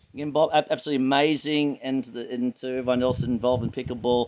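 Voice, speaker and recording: Someone with an Australian accent talks at a very fast pace with hardly any pauses and big swings in loudness. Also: man. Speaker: sports association president and interviewer. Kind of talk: interview. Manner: animated.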